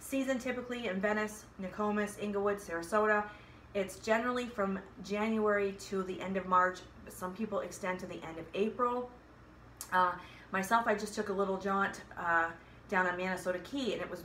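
A woman's fairly quick speech carries over light background noise. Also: fairly even intonation. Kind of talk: casual vlog chat. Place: home room. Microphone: phone near.

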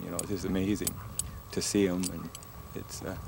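Against noticeable background noise, a man with a very deep, low pitch talks fairly quickly in a monotone, flat way. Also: dry sound with no echo. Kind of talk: interview answer. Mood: fond, reflective. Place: open country.

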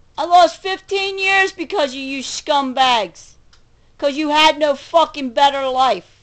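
A woman's high voice at a fairly slow pace, with lively intonation and big swings in loudness against a quiet background. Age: 40s. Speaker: video blogger. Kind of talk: angry rant. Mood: angry, bitter. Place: home room. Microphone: webcam.

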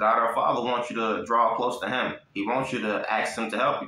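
Audible room echo is heard around this man. He talks at a fairly quick pace. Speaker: lay preacher. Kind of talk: sermon. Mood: warm, encouraging. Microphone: phone near.

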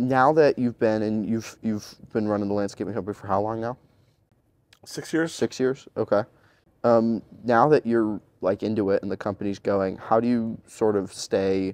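Delivered at a moderate pace, an ordinary speaking voice keeps fairly even intonation in a dry sound with no echo. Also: man, fairly low pitch for a man. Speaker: podcast interviewer. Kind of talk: interview questions. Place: home room.

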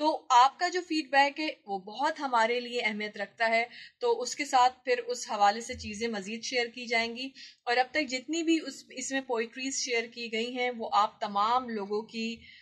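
A woman speaks in a high voice with ordinary pitch variation. The background is quiet. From Pakistan. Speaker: radio presenter and voice-over artist. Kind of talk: casual talk to camera. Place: office. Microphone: phone near.

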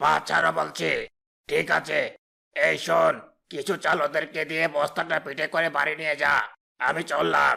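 In a raspy, cartoonish character voice, a man talks at a moderate pace with a fairly high pitch and very even loudness. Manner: commanding, contemptuous.

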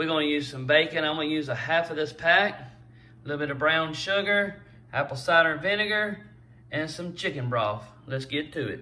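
At a moderate pace, the voice shows ordinary pitch variation. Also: man. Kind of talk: cooking tutorial. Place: kitchen. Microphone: phone near.

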